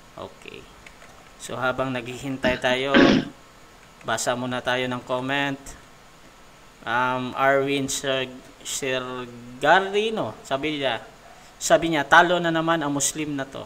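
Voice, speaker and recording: A man talks at a very slow pace and a medium pitch, with long, frequent pauses. His loudness swings widely, his pitch variation is ordinary, and background noise is noticeable. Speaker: debate moderator, livestream admin. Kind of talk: livestream moderation. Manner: casual, laughing.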